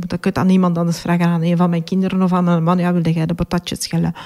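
A woman with a dark, mellow tone speaks at a fairly quick pace in a monotone, flat intonation. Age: 40s. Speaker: patient with chronic illness. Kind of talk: testimony. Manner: hesitant, many fillers.

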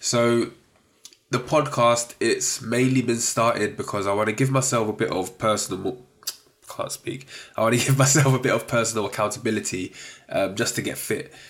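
Talking at a moderate pace, a man keeps a medium pitch with fairly even intonation. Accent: London. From South East London. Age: 30s. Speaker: podcast host, freelance data analyst. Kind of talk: casual solo podcast monologue. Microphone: sounds a bit muffled.

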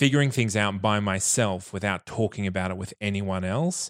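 A man speaks with an Australian accent in a fairly low voice. The sound is dry and close with no echo, in a very clean recording with a silent background. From Australia, regional Queensland (Bundaberg). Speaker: podcast guest sharing personal experience. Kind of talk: casual interview chat.

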